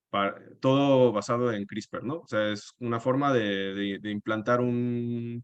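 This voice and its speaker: A man speaks at a very slow pace in a medium pitch. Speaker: environmental activist. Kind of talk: webinar presentation. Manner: halting.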